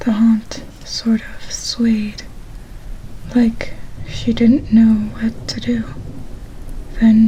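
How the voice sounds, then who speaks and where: Long pauses come often in this very slowly delivered speech, and background noise is clearly heard. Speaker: ASMR channel host. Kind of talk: horror story reading from a book.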